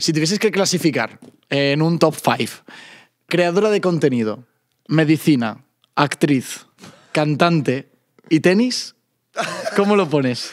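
Against a quiet background, a man in a Castilian accent speaks at a very slow pace with long, frequent pauses, a fairly high pitch and lively intonation. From Spain. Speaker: podcast host. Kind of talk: casual chat. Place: studio. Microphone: studio mic.

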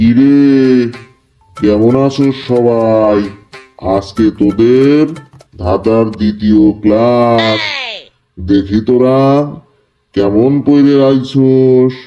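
Using a cartoonish character voice, a man speaks at a very slow pace with medium pitch, fairly even intonation and very even loudness. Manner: gruff, scolding.

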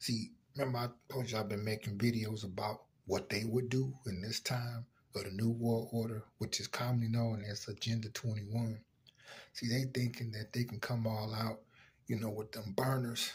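The voice is somewhat breathy, with a monotone, flat intonation at a moderate pace. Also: man. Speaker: vlogger. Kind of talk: casual vlog commentary. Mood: serious, opinionated. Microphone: phone near.

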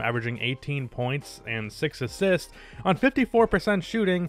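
There is music in the background as a man speaks in a dry sound with no echo. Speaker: sports video narrator. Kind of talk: commentary.

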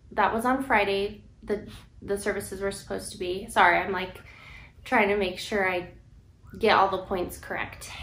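Over light background noise and audible room echo, a woman speaks at a moderate pace. Her intonation is monotone and flat. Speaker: vlogger telling her story. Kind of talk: casual vlog chat. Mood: serious, emotional personal story. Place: home room. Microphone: camera far.

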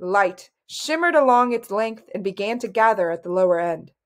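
An unforced reading voice rises and falls with lively intonation, and the background stays quiet.

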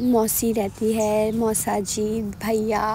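A woman with a dry sound, no echo and light background noise. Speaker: family vlogger. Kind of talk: casual vlog chat. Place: market. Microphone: phone near.

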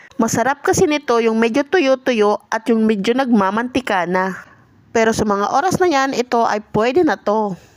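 A woman with a fairly high pitch and lively intonation is heard through noticeable background noise. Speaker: vlogger. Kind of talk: scripted voice-over narration. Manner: stumbling over words.

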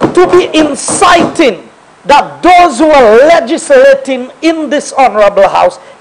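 A man at a fairly slow pace, pitch swinging very widely, over light background noise. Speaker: government member of parliament. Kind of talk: parliamentary point of order, indignant. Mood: indignant, accusing. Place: hall. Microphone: podium.

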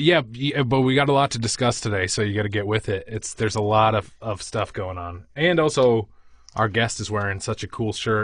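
The speaker has an American accent and ordinary pitch variation. The pace is moderate, and the background is quiet. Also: man, medium pitch for a man. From Quincy, Massachusetts. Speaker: podcast co-host.

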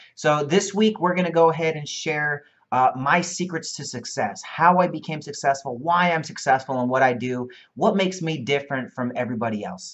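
Moderate pace against a quiet background. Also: man. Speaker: online marketing coach. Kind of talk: casual vlog chat. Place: office.

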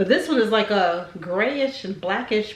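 The speaking pace is moderate. Room echo can be heard. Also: woman. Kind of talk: casual vlog chat. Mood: playful, laughing. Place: home room. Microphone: camera far.

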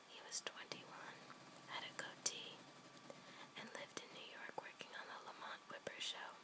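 At a fairly slow pace, the speaker whispers while noticeable background noise carries on. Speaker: ASMR content creator. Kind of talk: bedtime story reading. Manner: whispered.

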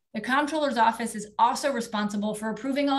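Over a quiet background, a woman speaks at a fairly quick pace in a fairly high, somewhat breathy voice with fairly even intonation. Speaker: politician, state legislator running for office; politician. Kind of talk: campaign speech. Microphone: video call.

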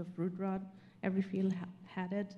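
A woman speaks in a dark, mellow tone. She has a German accent. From Germany. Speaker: panelist plant pathologist. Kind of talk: panel discussion. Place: hall. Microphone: handheld.

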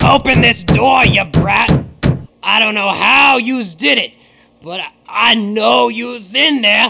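With music in the background, a man uses a raised, projected voice at high pitch, with lively intonation and a fairly slow pace. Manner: menacing, threatening.

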